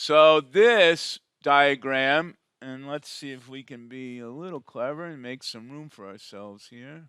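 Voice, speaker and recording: In a very clean recording with a silent background, a man with a bright, sharp tone talks at a fairly high pitch and a fairly slow pace, with big swings in loudness and ordinary pitch variation. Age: 60s. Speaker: physics professor. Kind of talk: lecture. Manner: casual, conversational.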